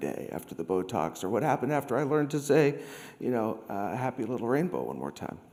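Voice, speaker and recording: A man's very fast speech with very wide pitch swings and vocal fry. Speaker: conference speaker. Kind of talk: conference talk. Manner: halting.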